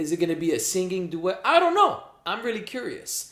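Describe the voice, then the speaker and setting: The voice is a man's, pitched high. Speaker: podcast co-host. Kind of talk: casual chat.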